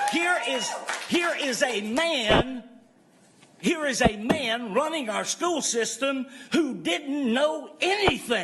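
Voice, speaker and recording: Speaking very slowly, a man uses an extremely high pitch. Noticeable background noise and audible room echo fill the recording. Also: lively intonation. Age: 70s. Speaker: public commenter at school board meeting. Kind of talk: public comment speech.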